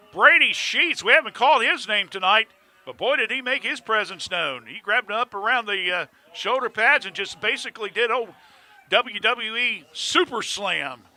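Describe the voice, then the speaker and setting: A man with a high-pitched voice speaks in a raised, projected way with lively intonation. The sound is dry and close, with no echo. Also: moderate pace. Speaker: play-by-play football announcer. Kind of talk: live commentary. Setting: high school football stadium. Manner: loud; animated.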